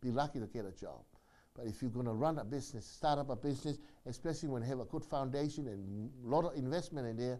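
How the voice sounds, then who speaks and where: At a fairly quick pace, a man with a fairly high pitch and a dark, mellow tone talks with lively intonation. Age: 60s. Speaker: community organization leader. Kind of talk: monologue address. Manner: repetitive, halting.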